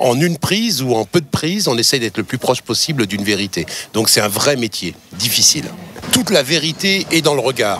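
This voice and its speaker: A man's medium-pitched voice at a fairly quick pace, very wide pitch swings, noticeable background noise behind him. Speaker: dubbing actor. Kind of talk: interview answer.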